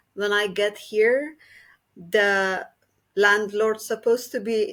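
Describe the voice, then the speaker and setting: A woman speaks with a Persian accent. Her pitch is fairly high and her pace very slow. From Iran. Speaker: activist. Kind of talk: casual chat.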